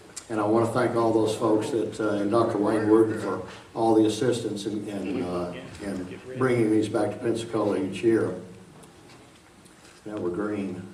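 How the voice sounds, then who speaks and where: Delivered in a monotone, flat intonation at a moderate pace, the speech has long, frequent pauses, audible room echo and noticeable background noise. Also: man, fairly low pitch for a man. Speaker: science lecturer. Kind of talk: public lecture. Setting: large auditorium with audience. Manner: casual, chatty.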